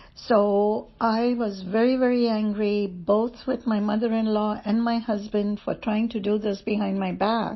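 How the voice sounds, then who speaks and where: With a fairly high pitch and a somewhat breathy sound, a woman talks at a fairly slow pace in a flat monotone, with hardly any pauses. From India. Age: 70s. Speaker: testimony speaker. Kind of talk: testimony. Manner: hesitant with fillers.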